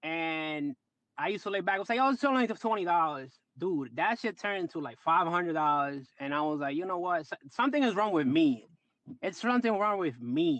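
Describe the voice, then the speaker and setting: With a Dominican accent, a man speaks at a fairly quick pace in an animated tone, with lively intonation and a high pitch. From Dominican Republic. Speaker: trader. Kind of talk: casual chat.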